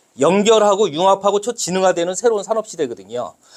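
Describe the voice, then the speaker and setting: Loud and high-pitched, a man speaks. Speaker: lecturer. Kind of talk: lecture. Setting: classroom with audience. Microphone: no microphone, unamplified voice.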